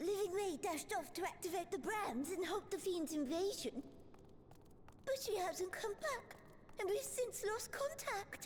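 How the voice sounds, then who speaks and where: A put-on character voice at an extremely high pitch, with clear background noise. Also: moderate pace. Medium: video game. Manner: excitable, fretful.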